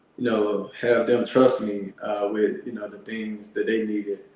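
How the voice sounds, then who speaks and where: A man speaks with an American accent over noticeable background noise. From Alabama, US South. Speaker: Air Force veteran and landscaping business owner. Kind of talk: interview. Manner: halting, many fillers.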